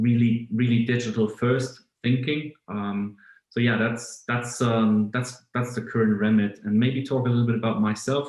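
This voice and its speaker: A man with a German accent talks at a medium pitch. His delivery is moderate in pace and monotone, flat in intonation. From Germany. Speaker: automotive business executive. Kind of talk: podcast interview. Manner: hesitant, many fillers and repeats.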